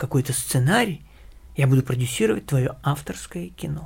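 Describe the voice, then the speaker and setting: A man with a fairly high, somewhat breathy voice speaks at a fairly quick pace. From Ukraine, Kyiv. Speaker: animation director. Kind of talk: interview.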